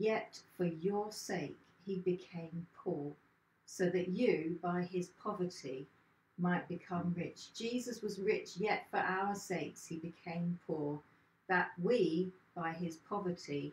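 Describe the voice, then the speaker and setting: Speaking very slowly with audible room echo, a woman's fairly low, somewhat breathy voice keeps a fairly even intonation. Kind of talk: short sermon, Bible reflection. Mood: warm, reflective. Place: home room. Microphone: camera far.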